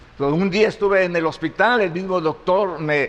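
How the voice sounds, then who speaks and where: Noticeable background noise sits behind a man with a high pitch. He talks at a moderate pace with ordinary pitch variation. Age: 70s. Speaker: pastor. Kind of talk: sermon. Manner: halting.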